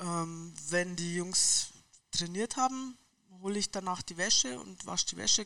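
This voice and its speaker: A woman talks fairly slowly with ordinary pitch variation, recorded very cleanly against a silent background. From Munich, Bavaria. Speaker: football club laundry worker. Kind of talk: casual interview.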